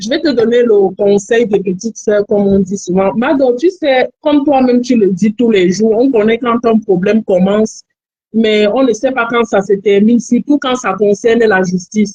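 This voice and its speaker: A woman with a Cameroonian accent speaks at a moderate pace with a fairly high pitch and ordinary pitch variation. Her tone is dark and mellow and somewhat breathy. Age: young. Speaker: caller. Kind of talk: advice call on live stream. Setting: phone call.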